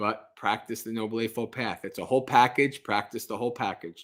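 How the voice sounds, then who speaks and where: Here is an ordinary speaking voice: a man at a medium pitch with fairly even intonation and a fairly quick pace. The recording is very clean, with a silent background. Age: 40s. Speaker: Buddhist monk. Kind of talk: livestream Q&A. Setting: livestream with live audience. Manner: casual, conversational.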